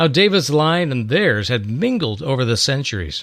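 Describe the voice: The words are read out plainly. Nothing more than plain reading aloud is heard.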